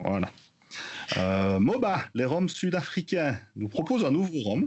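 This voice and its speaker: A man with a Belgian accent, very wide pitch swings and a very slow pace. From Belgium. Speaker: podcast co-host, rum news segment. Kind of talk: news roundup in casual podcast chat. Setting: remote from Belgium. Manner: hesitant with many fillers.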